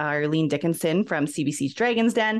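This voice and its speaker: In a Canadian accent, a woman talks at a fairly quick pace with lively intonation against a quiet background. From Ontario, Canada. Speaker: business coach. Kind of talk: interview. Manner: animated.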